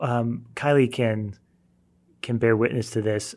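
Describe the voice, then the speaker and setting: In a very clean recording with a silent background, a man with a medium-pitched voice speaks at a fairly slow pace. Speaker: Bible teacher. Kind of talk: Bible study discussion.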